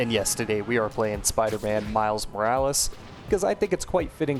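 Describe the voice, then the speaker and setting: A man speaks at a medium pitch over background music. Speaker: video essayist. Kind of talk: video essay commentary over gameplay. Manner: some stuttering, filler words.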